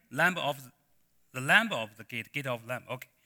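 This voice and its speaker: Male voice with a Chinese accent, a bright, sharp tone, and a dry, close sound with no echo on a very clean recording with a silent background. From China. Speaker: pastor. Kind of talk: sermon. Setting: church. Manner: halting.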